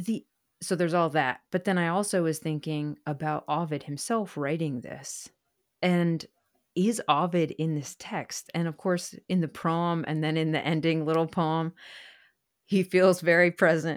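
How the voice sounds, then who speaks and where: On a very clean recording with a silent background, a woman with a normal speaking voice and fairly low pitch speaks at a fairly slow pace with fairly even intonation. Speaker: podcast host and poet. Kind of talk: conversational interview.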